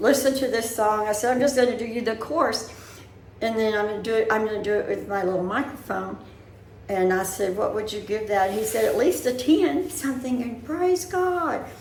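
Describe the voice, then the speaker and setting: With a Southern US accent, a woman speaks at a moderate pace in a fairly high voice with lively intonation, with audible room echo around her. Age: 70s. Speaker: vlogger. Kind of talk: casual chat. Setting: indoors, bedroom.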